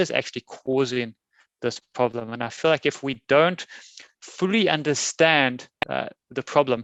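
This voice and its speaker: A man with a South African accent speaks at a medium pitch with ordinary pitch variation, dry and close with no echo, over a quiet background. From South Africa, Cape Town. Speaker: software testing conference speaker. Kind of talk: conference keynote talk. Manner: many fillers, halting.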